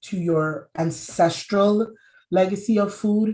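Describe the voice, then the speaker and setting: A woman speaks in a somewhat breathy voice with a dark, mellow tone and fairly even intonation. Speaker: food systems advocate, nonprofit founder. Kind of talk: conference panel talk.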